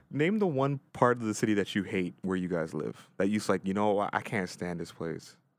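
A man talks at a fairly quick pace with lively intonation and hardly any pauses, his pitch fairly low. The recording is very clean, the background silent. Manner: halting.

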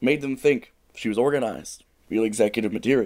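In a put-on character voice, a man sounds strained as he rattles along at a very fast pace with medium pitch. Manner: holding back a burp, strained.

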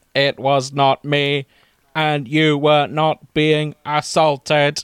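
Putting on a character voice, a man speaks very slowly at a fairly high, shrill pitch with a monotone, flat intonation. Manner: confused.

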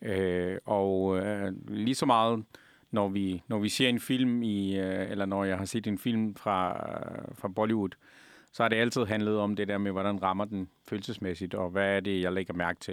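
A man talks in a fairly low pitch. His intonation is monotone and flat. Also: fairly slow pace. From Afghanistan. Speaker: restaurant owner. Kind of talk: interview.

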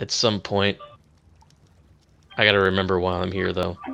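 Using a raspy, put-on character voice, a man speaks at a moderate pace in a very deep, low pitch with monotone, flat intonation. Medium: actual play.

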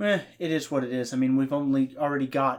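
In a plain, everyday voice, a man speaks with ordinary pitch variation. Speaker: podcast co-host and producer. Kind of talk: casual chat. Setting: home recording setup.

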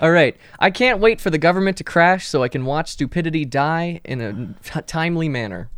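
Fairly quick speech in an American accent with lively intonation. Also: man, fairly high pitch for a man. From New Jersey, near Somerville. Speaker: podcast co-host. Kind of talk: casual chat.

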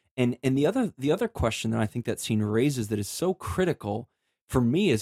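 A man's plain, everyday voice at medium pitch, lively in intonation and moderate in pace, with a dry, close sound with no echo on a very clean recording with a silent background. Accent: American. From US Midwest, Chicago area. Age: 30s. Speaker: author. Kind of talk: casual chat.

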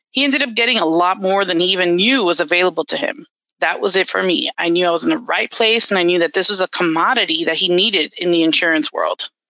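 Talking at a very fast pace with hardly any pauses, a woman uses a bright, sharp tone, a medium pitch, lively intonation and very even loudness. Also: dry, close sound with no echo. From Miami, Florida. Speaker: bilingual benefits counselor. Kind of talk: interview.

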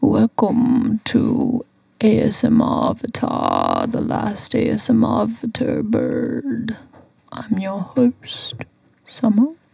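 A put-on character voice speaks very slowly. Its pitch is fairly high. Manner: ASMR, soft.

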